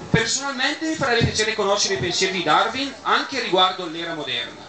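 Speaking very fast, a man projects a raised, high-pitched voice with lively intonation. Audible room echo and light background noise surround him. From Bergamo, Italy. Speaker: event host giving closing speech. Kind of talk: moralizing closing speech. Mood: earnest, moralizing. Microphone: camera far.

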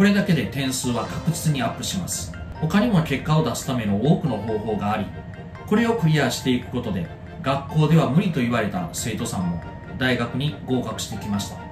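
Clear music plays behind a man whose pitch swings very widely. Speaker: tutor. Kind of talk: self-introduction promo to camera. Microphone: phone near.

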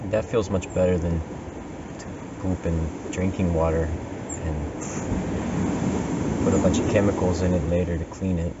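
Loud background noise fills the clip as a man talks at a moderate pace. His speech is broken by long, frequent pauses. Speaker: vlogger living in nature. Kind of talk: casual vlog chat. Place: open country. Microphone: camera far.

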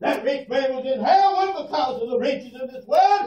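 A man with an American accent shouts loudly with lively intonation. Audible room echo carries his voice. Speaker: preacher. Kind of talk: fire-and-brimstone funeral sermon. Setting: funeral parlor, room recording. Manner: loud, shouting, fervent. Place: hall. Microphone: camera far.

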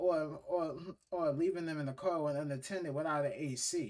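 A man's voice over a quiet background. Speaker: reaction video host. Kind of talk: casual commentary. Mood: disapproving, animated. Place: home room. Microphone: earbuds.

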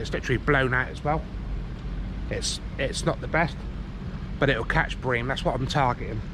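A man at a fairly quick pace, dry sound with no echo, and noticeable background noise. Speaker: fishing vlogger. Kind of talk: casual vlog chat. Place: waterside. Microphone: phone near.

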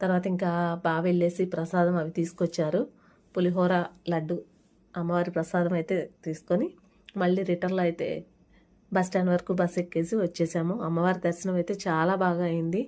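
Her fairly low-pitched voice has a dark, mellow tone, monotone and flat in intonation, with very even loudness throughout. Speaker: vlogger. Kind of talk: vlog voice-over narration. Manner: casual, conversational.

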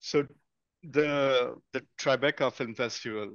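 A man speaks at a very slow pace. The sound is dry with no echo, over a quiet background. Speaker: filmmaker and festival programmer. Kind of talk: group discussion. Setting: video call. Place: home room. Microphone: headset.

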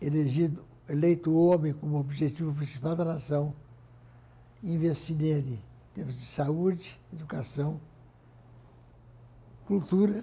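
A man speaks at a fairly slow pace with long, frequent pauses, his fairly high voice dark and mellow in tone, somewhat breathy, and ordinary in pitch variation. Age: 80s+. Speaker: industrialist, former business federation president. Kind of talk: interview answer. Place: office. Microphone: lapel.

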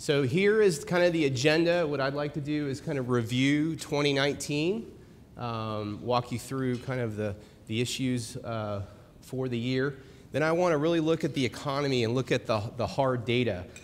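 Ordinary pitch variation and a moderate pace from a male speaker. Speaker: presenter. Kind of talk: presentation talk. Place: hall.

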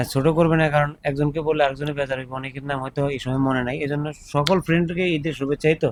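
Monotone, flat intonation in a man's fairly high voice. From Bangladesh, Char Fasson (Bhola). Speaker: YouTube vlogger interviewing migrant workers. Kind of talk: casual street interview.

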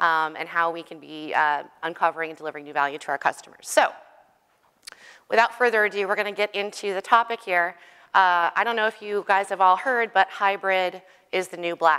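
Against a quiet background, a woman with a bright, sharp tone speaks at a fairly quick pace, with big swings in loudness and ordinary pitch variation. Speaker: conference presenter. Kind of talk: conference talk. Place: hall. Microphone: lapel.

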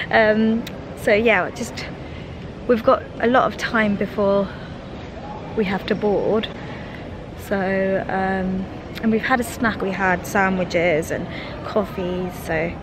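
A woman at a fairly slow pace with long, frequent pauses, dry sound with no echo and noticeable background noise. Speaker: vlogger. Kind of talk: casual vlog chat. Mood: relaxed, cheerful. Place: hall. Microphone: phone near.

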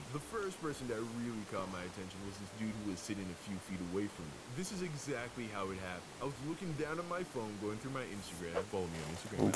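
Loud background noise sits behind a man talking at a very fast pace. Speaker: storytelling animator vlogger. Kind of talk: casual storytime narration. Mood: playful, amused.

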